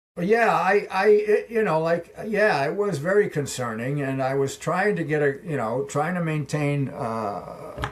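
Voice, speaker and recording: Lively in intonation yet fairly slow in pace, a man with fairly high pitch talks with hardly any pauses over noticeable background noise. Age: 80s+. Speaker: former pro cyclist and coach. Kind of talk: interview answer.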